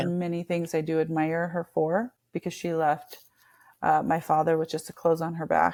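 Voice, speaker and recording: A woman with an American accent speaks in a normal speaking voice at a fairly low pitch and fairly slow pace, with fairly even intonation, on a very clean recording with a silent background. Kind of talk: podcast interview answer.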